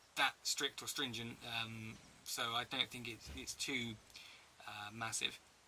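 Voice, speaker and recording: A man with a strong English accent speaks at medium pitch in a bright, sharp tone. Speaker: travel vlogger. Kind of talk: casual Q&A.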